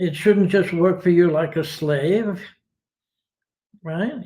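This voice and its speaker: Speaking with an American accent, a man uses a high pitch and a dark, mellow tone. His pace is fairly slow and his intonation fairly even. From United States. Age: 80s+. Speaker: retired philosopher and ski teacher. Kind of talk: interview.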